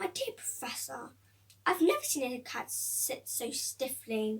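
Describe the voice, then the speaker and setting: Woman's put-on character voice at a fairly slow pace. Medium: read story. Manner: warm, amused.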